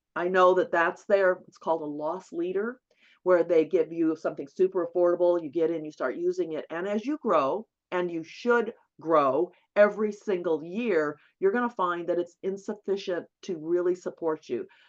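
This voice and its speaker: A plain, everyday voice from a woman, fairly low-pitched, with ordinary pitch variation, big shifts in volume, a moderate pace and a quiet background. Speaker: bookkeeping instructor. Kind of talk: webinar lecture. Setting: online webinar.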